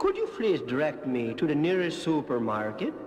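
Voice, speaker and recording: There is music in the background as a man speaks. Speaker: comedian. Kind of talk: comic children's story narration.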